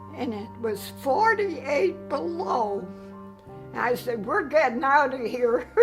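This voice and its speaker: A woman speaking at a very slow pace, with music in the background. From Chicago. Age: 80s+. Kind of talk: interview answer.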